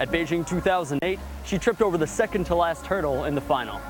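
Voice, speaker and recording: Music plays in the background as a man speaks. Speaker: sports anchor and reporter. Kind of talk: TV sports anchor and reporter delivery.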